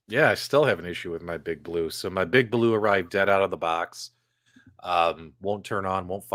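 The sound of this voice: A man puts on a character voice with a Chicago accent, very deep, low and raspy. He goes at a moderate pace with ordinary pitch variation.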